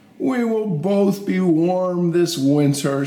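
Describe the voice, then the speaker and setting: Using a put-on character voice, a man speaks at a very slow pace and a high pitch. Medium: read story.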